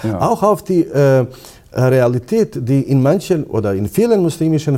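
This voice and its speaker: With a Bosnian accent, a man speaks at a fairly high pitch and with lively intonation. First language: Bosnian (speaking German). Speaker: imam and Islamic theologian. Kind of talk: interview. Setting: on location at a university institute. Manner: hesitant, many fillers.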